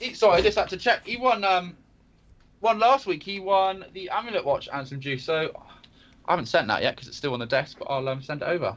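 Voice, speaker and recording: A man with a West Country accent, high pitch, very wide pitch swings, big swings in loudness and a fairly quick pace. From Devon, England. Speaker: live stream co-host. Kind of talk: casual chat.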